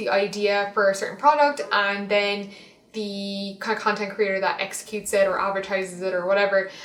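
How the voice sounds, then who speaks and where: Against noticeable background noise, a woman with an Irish accent speaks at a moderate pace. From Ireland. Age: 20s. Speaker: fashion and lifestyle blogger. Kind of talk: casual talk to camera.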